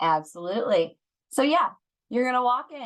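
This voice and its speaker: A woman with an American accent speaks at a fairly quick pace. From US South. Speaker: trainer for home visitors. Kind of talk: online training session.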